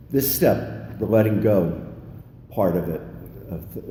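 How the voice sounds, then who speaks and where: Someone with an American accent speaks in audible room echo. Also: man. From Pennsylvania. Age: 60s. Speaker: recovering alcoholic speaker at AA meeting. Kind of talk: recovery meeting share.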